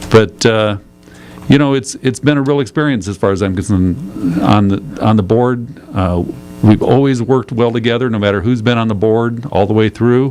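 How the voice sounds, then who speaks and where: Medium-pitched male voice with an American accent, moderate pace and ordinary pitch variation, over noticeable background noise. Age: 60s. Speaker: county supervisor. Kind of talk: radio interview. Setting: radio studio. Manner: casual, hesitant with fillers.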